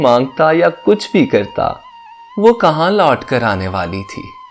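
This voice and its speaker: Over music in the background, a man with a fairly high voice speaks with very wide pitch swings. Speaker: voice over artist. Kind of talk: sad story narration. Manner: emotional.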